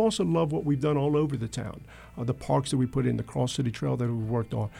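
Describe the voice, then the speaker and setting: A man with an American accent, dark and mellow in tone, at a very fast pace. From US South, Wilmington, North Carolina. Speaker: mayor and election candidate. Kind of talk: radio interview. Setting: radio studio.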